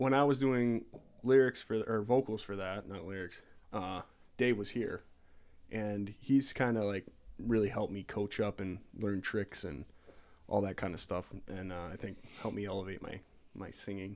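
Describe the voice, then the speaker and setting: At a moderate pace, a man with a fairly low pitch speaks with ordinary pitch variation and long, frequent pauses, on a very clean recording with a silent background. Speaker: singer in a band, podcast co-host. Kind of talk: casual chat. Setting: live stream. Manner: hard to understand in regular talk.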